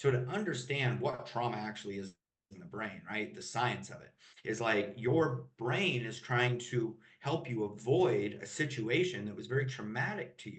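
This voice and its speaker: Vocal fry runs through a man's medium-pitched voice as he speaks at a moderate pace with lively intonation and big swings in loudness. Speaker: emotional mastery coach. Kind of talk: podcast interview.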